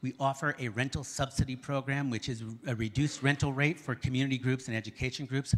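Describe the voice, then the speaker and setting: A man with a medium pitch talks at a very fast pace, using ordinary pitch variation. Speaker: theater representative presenting to city council. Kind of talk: public presentation at council meeting. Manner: hesitant with fillers.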